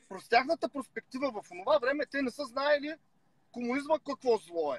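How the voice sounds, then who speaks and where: Lively intonation moves along at a moderate pace in a dry sound with no echo, set against a quiet background. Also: man. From Bulgaria. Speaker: rapper and political commentator; political commentator. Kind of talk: casual chat. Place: car. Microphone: video call.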